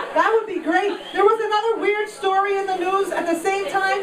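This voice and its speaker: Recorded with noticeable background noise and audible room echo, a woman talks with an American accent. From Queens, New York. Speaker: stand-up comedian. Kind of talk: stand-up. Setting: stage with audience.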